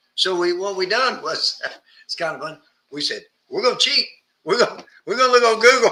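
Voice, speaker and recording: A man with an American accent and a high pitch uses a raised, projected voice and lively intonation, leaving long, frequent pauses. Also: fairly quick pace. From US South. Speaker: martial arts instructor. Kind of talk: casual instructional chat.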